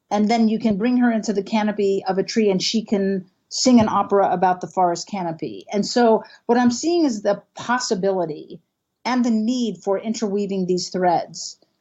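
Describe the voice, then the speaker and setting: A woman's somewhat breathy voice, medium in pitch, with ordinary pitch variation at a moderate pace. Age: 60s. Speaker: canopy ecologist and professor. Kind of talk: interview.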